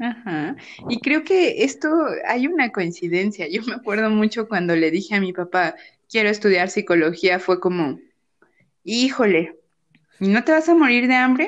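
A woman speaks at a fairly slow pace in a fairly high pitch, her voice swinging very widely in pitch, with long, frequent pauses over a quiet background. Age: 30s. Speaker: psychologist podcast co-host. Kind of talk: casual chat.

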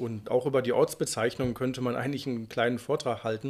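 A man at medium pitch with monotone, flat intonation, on a very clean recording with a silent background. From Unna, Westphalia, Germany (Ruhr area). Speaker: Arctic guide and author. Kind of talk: casual interview.

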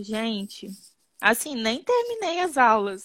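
A woman talks at a fairly slow pace and a fairly high pitch. It is an ordinary speaking voice. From Brazil, Espírito Santo (Muqui). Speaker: children's ballet teacher. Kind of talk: testimonial interview.

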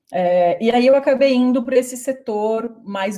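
A dark, mellow tone marks this voice, which is somewhat breathy. The intonation remains fairly even. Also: woman. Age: 30s. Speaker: business owner, internationalization consultant. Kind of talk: interview.

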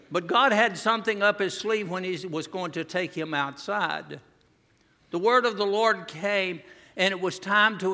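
With a Southern US accent, a man uses a raised, projected voice and a bright, sharp tone, keeping ordinary pitch variation at a moderate pace. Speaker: visiting preacher. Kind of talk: revival sermon to a congregation. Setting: church, in front of a live congregation. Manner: earnest, warm, pulpit-style exhortation; conversational and humorous, with self-deprecating asides.

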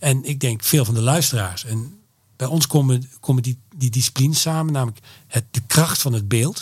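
At a moderate pace, a man speaks with a medium pitch and a somewhat breathy voice. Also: ordinary pitch variation. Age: 50s. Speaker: creative events entrepreneur. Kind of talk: interview. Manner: hesitant, many filler sounds.

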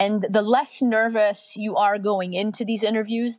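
A woman at a moderate pace, dry and close with no echo. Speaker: HR leader giving career advice. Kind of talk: online Q&A advice session. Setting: video call. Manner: casual, hesitant with fillers.

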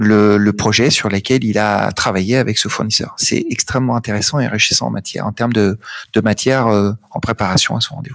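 The man's intonation is fairly even. He moves along at a fairly quick pace. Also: fairly low pitch for a man. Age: 40s. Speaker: sales consultant and business owner. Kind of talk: interview. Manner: halting.

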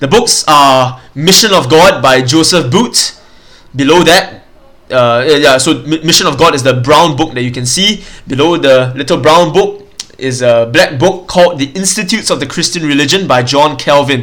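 Over noticeable background noise, a man with a fairly high pitch talks at a moderate pace with ordinary pitch variation. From Singapore. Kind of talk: solo teaching podcast. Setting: home recording, mic further away. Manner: casual, hesitant with fillers.

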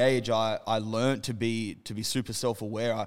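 In a very clean recording against a silent background, a man talks with an Australian accent. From Western Sydney, Australia. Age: 30s. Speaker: clothing brand co-founder. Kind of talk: casual chat. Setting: their own studio space.

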